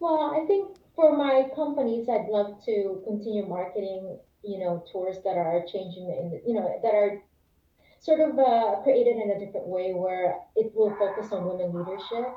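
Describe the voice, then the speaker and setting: Speaking in an American accent at a moderate pace, a woman has medium pitch, lively intonation and an unremarkable speaking voice. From Philippines, Manila, then US from age 13. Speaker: former civil rights lawyer and trekking entrepreneur. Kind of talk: interview.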